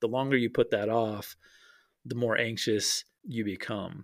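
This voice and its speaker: At a fairly slow pace, a man with an American accent speaks at a medium pitch on a very clean recording with a silent background. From US Mountain West, Wyoming. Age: 30s. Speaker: business owner and former teacher. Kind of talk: interview. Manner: halting, many repetitions and fillers.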